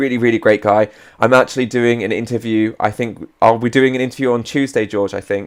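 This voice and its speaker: A man talks at a fairly quick pace in a flat monotone at a medium pitch. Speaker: stock market youtuber. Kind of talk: live stream market commentary and chat reading. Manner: casual, with many fillers.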